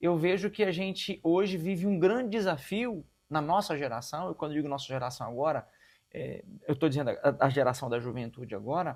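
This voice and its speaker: In a very clean recording with a silent background, a man's intonation sounds lively. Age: 50s. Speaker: pastor. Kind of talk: interview conversation. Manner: halting.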